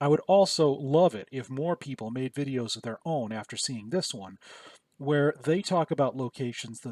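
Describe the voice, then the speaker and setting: Lively intonation marks a man's voice in a very clean recording with a silent background and a dry, close sound with no echo. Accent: Michigan. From Michigan. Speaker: YouTuber. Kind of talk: casual vlog commentary.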